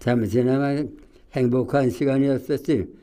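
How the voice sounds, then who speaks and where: A man with a dark, mellow tone speaks at a medium pitch with fairly even intonation. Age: 90s. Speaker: war veteran. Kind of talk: testimony. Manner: halting.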